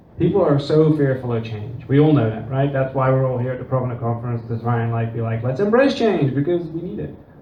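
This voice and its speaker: A man rushes along at a very fast pace with hardly any pauses, amid noticeable background noise and audible room echo. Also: medium pitch for a man, ordinary pitch variation. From Netherlands and England. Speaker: workshop presenter, former business owner. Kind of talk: conference talk. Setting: conference room with audience. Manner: casual, filler-heavy.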